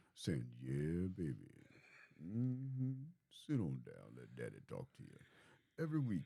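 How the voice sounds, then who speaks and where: Using a playful, put-on character voice with a very deep, low pitch, a man speaks fairly slowly with long, frequent pauses, very wide pitch swings, and big swings in loudness. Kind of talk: slangy. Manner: seductive, playful.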